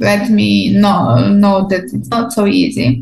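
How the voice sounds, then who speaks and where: A woman speaks at a fairly high pitch and a fairly slow pace. Her voice is somewhat breathy, with very wide pitch swings. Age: 20s. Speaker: translator. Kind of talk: interview.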